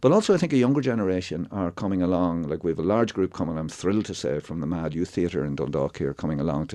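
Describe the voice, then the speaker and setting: Against a quiet background, a man with a Monaghan accent speaks very fast with hardly any pauses. His pitch is very deep and low, his tone dark and mellow. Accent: Irish (Ulster border, Monaghan). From Ireland, County Monaghan. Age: 60s. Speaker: actor and theatre writer. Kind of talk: radio interview. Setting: radio studio. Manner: animated, with false starts and repetitions.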